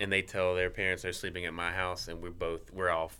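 Here is a man with a Southern US accent. His pitch is very deep and low. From Mississippi. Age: 40s. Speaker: professional skateboarder. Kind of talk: casual chat.

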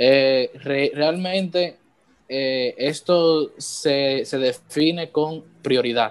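A fairly high male voice at a very slow pace with fairly even intonation. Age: 20s. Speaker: church worship musician. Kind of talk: casual chat. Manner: halting.

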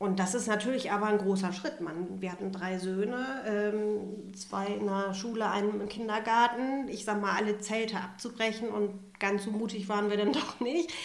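Over noticeable background noise and audible room echo, a woman with a medium pitch talks with hardly any pauses. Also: ordinary pitch variation, moderate pace. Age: 40s. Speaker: refugee support worker. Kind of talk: interview.

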